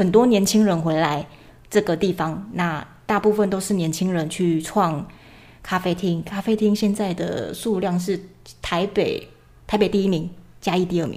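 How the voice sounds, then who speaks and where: Soft-spoken and medium in pitch, a woman talks at a moderate pace with fairly even intonation. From Chiayi, southern Taiwan. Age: 20s. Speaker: illustrator and short-video creator. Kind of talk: casual chat.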